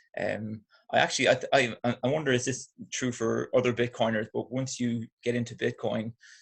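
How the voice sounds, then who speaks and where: Talking at a moderate pace, the man has an Irish accent. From Ireland, Athlone, Midlands. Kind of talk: podcast interview.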